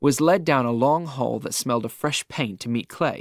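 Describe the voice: The voice is plain reading aloud. Pitch variation is ordinary.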